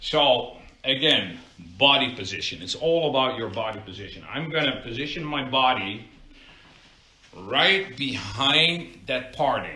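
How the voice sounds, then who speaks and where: A man with a Dutch accent at a medium pitch, fairly slow and lively in intonation, amid noticeable background noise and audible room echo. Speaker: barber. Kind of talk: live tutorial. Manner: casual, conversational.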